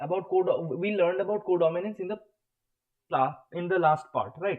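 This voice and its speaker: Delivered at a middling speed, the voice rises and falls in a normal way. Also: man. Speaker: online biology teacher. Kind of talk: live online lecture.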